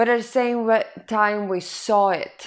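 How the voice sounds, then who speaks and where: A woman speaks with a non-native accent at a very slow pace. Behind her the background is quiet. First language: not English. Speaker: spiritual self-help vlogger. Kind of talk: personal testimony monologue. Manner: halting.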